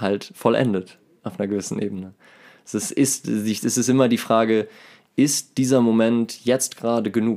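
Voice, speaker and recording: Fairly slow delivery in a dark, mellow tone, on a very clean recording with a silent background. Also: man. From Germany, Remscheid (North Rhine-Westphalia). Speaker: musician. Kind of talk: casual chat.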